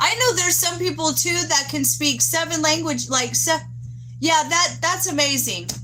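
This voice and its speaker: Speaking at a moderate pace with very even loudness, a woman with an American accent is heard amid noticeable background noise and audible room echo. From Texas. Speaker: livestreamer. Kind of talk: casual live chat with viewers. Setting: outdoors. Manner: halting, gets tongue-tied.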